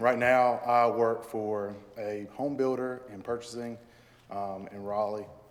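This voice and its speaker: Here a man speaks at a fairly slow pace with monotone, flat intonation. His loudness swings widely, and there is audible room echo. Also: medium pitch for a man. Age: 20s. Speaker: applicant for town board. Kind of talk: public statement at a meeting. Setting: town board meeting. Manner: hesitant, many fillers.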